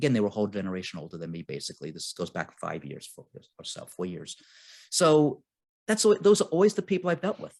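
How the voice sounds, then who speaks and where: A man talks at a very fast pace, his loudness swinging widely. The background is quiet. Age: 60s. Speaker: real estate investor. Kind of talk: casual chat.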